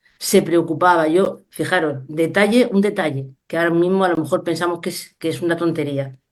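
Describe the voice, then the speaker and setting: This woman has a fairly low pitch with ordinary variation and speaks with a Spanish accent. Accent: Peninsular Spanish. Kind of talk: Q&A answer on a video call. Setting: video call.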